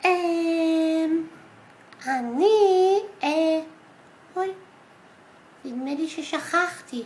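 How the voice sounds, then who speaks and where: In a put-on character voice with an extremely high pitch, the speaker leaves long, frequent pauses. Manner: hesitant, confused.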